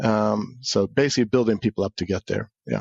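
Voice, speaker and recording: A man talks with a fairly low pitch and fairly even intonation. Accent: slight Swedish. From Sweden. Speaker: cybersecurity executive and military veteran. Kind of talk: podcast interview.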